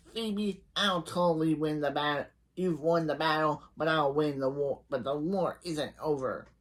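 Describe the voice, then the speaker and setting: A squeaky, put-on character voice at a middle pitch takes a menacing tone at a moderate pace. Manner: menacing, vowing revenge.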